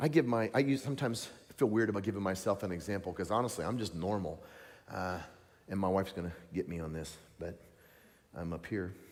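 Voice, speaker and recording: A speaker with a Southern US accent talks at a very fast pace in an animated tone, with ordinary pitch variation. Long pauses come often, and the room echo is audible. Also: man, fairly low pitch for a man. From US South, Tennessee. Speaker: evangelist preacher. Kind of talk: sermon.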